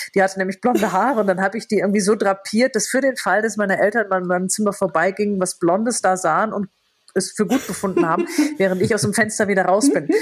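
A woman talks at a very fast pace with a medium pitch. Her pitch varies in an ordinary way. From Lower Rhine, Germany. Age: 50s. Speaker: novelist and TV presenter. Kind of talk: casual chat.

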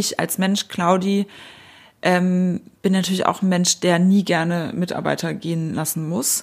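Monotone and flat, a woman's voice comes through on a very clean recording with a silent background. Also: medium pitch for a woman, fairly slow pace. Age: 30s. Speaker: media executive and editor-in-chief. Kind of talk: interview.

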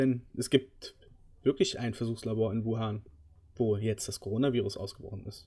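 A man's medium-pitched voice, somewhat breathy with a dark, mellow tone, moves at a moderate pace with fairly even intonation. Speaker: gaming podcast host. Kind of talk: casual chat.

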